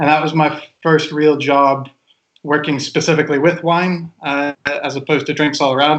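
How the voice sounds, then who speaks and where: This voice, with a Kentucky accent, moves at a moderate pace with monotone, flat intonation. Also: man, fairly high pitch for a man. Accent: Kentucky American. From Kentucky, US (Lexington). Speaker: wine sommelier. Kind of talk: casual chat.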